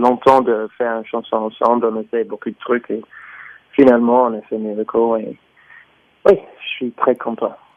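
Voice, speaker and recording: Pitched at a medium level, a man speaks in a monotone. His delivery is flat and fairly slow. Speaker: singer. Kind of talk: radio interview answer.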